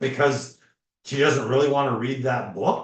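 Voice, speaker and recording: Somewhat breathy and fairly high-pitched, a man talks at a fairly slow pace with an animated tone. Room echo is audible. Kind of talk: casual chat. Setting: live stream.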